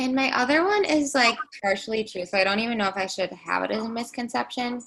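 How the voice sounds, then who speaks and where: Bubbly and fairly high-pitched, a woman talks at a fairly quick pace with lively intonation. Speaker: podcast co-host. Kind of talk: casual chat.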